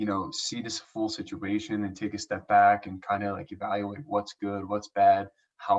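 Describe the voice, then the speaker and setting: Pitch shifts in an ordinary way while the delivery holds a moderate pace. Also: man. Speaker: Olympic swimmer, speaker. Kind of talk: motivational talk. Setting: online event. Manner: energetic, chatty.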